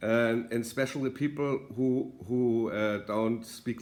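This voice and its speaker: A man with a German accent speaks with ordinary pitch variation. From Germany. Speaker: political author and commentator. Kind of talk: video monologue. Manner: halting, many fillers.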